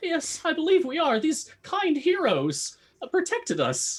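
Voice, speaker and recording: Here is a put-on character voice pitched high. It moves at a moderate pace. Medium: actual play. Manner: haughty, self-important.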